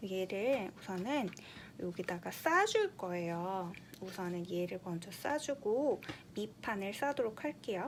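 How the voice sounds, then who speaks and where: Her intonation lively, a woman of medium pitch speaks at a very slow pace. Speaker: kindergarten teacher making teaching materials. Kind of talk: tutorial. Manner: casual, with frequent fillers.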